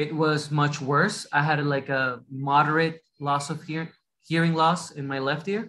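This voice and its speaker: Speaking with a Latin American accent, a man keeps a fairly high pitch and fairly even intonation. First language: Spanish. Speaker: doctor. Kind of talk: interview. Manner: mumbles a little; halting, many restarts.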